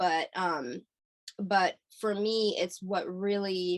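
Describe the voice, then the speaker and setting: A woman speaks at a medium pitch. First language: Hungarian. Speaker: singer-songwriter. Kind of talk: interview. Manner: halting, many fillers.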